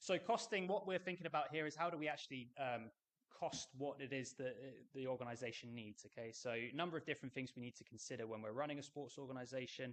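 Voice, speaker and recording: Very fast pace with ordinary pitch variation. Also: man, medium pitch for a man. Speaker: university lecturer. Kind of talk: lecture. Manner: halting.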